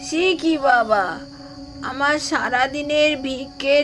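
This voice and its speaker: A woman's high-pitched, put-on character voice with fairly even intonation, over clear background noise. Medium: read story. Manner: earnest, simple village speech.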